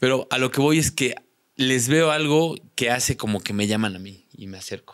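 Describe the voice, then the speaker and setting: Speech in a Mexican accent at a moderate pace, with big swings in loudness, ordinary pitch variation, long, frequent pauses and a quiet background. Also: man. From Mexico. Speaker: content creator, prank video maker; content creator. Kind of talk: casual chat. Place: studio. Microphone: studio mic.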